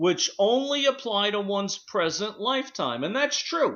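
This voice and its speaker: The speaker is a man. His pitch is high. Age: 60s. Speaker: radio talk show host. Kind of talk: radio discussion show.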